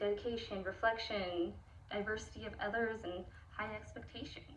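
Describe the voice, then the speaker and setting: The pace is moderate. There is noticeable background noise and audible room echo. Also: woman. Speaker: student teacher. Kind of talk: spoken assignment monologue. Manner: casual with many fillers.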